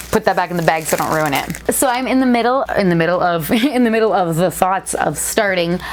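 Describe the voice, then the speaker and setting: Talking at a very fast pace, a woman uses an animated tone at a medium pitch with ordinary pitch variation. Noticeable noise sits in the background. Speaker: toy channel YouTuber. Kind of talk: casual vlog. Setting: home studio.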